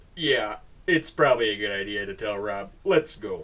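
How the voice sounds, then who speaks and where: A man puts on a character voice. His fairly low voice moves at a moderate pace. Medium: read story. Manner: laid-back, drawling.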